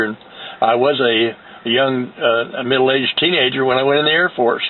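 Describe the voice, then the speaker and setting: With an American accent, a man speaks at a moderate pace in a monotone, flat intonation over noticeable background noise. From US Midwest, Indiana. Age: 70s. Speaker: war veteran. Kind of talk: testimony. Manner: halting, many fillers.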